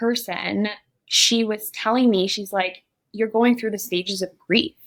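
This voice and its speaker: In a very clean recording with a silent background, a woman speaks at a fairly high pitch. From Ontario, Canada (Barrie), French-speaking. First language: French. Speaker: naturopathic doctor. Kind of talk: podcast interview, personal story. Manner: halting, stumbles on words.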